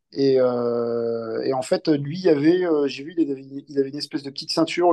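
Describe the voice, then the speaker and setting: A man with a fairly high pitch and a dark, mellow tone. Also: dry, close sound with no echo. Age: 30s. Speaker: navy sailor and amateur runner. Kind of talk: casual interview. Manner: halting, many hesitations.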